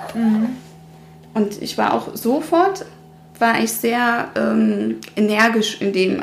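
Room echo and noticeable background noise can be heard around a woman's voice. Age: 30s. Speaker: mother sharing miscarriage experience, former dental worker. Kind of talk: interview, personal testimony.

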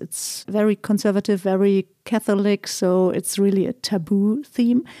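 A woman with a German accent, medium in pitch, with a dark, mellow tone, fairly even intonation, a moderate pace, and a dry, close sound with no echo in a very clean recording with a silent background. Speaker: podcast host. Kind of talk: interview.

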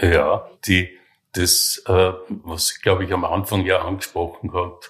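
On a very clean recording with a silent background, the words come very slowly. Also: man. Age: 70s. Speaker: hospice resident with terminal cancer. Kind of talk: interview. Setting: hospice room. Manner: halting.

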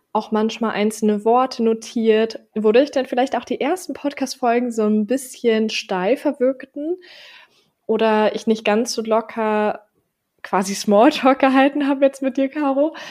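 A woman with an unremarkable speaking voice talks at a fairly slow pace and a fairly high pitch, with ordinary pitch variation. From Berlin, Germany. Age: 20s. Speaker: podcast co-host. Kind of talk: casual chat.

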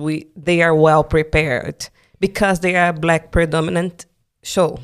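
A woman's very deep, low voice in a Brazilian accent, monotone and flat at a fairly slow pace, on a very clean recording with a silent background. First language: Portuguese. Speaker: dancer. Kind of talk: interview conversation.

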